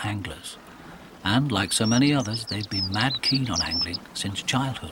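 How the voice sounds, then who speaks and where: A man speaks in a calm, gentle tone with lively intonation. Noticeable background noise can be heard. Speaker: documentary narrator. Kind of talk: nature documentary narration.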